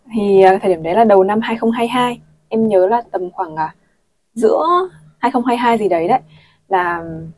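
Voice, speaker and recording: A woman with a plain, everyday voice, medium pitch, and ordinary pitch variation. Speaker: former student abroad. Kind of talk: casual chat.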